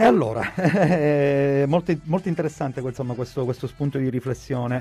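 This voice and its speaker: Using a plain, everyday voice, a man talks at a medium pitch and ordinary pitch variation. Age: 40s. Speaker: radio presenter. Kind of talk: casual chat. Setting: studio.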